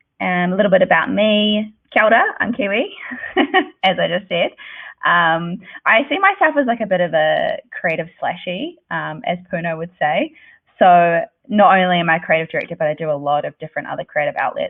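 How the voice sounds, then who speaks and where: In a New Zealand accent, a woman talks at a fairly quick pace. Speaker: creative director. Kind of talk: presentation.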